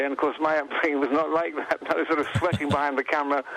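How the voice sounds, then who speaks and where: A man with an English accent talks at a very fast pace in a fairly high pitch, his intonation monotone and flat, over noticeable background noise. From England. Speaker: photographer and author. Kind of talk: radio interview. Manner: hesitant, many fillers and restarts.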